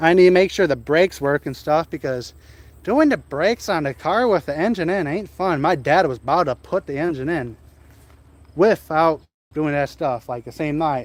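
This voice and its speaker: Recorded dry and close with no echo, a man with an American accent speaks at a moderate pace, his fairly high pitch varying an ordinary amount. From central Wisconsin. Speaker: car hobbyist streamer. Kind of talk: casual live stream chat.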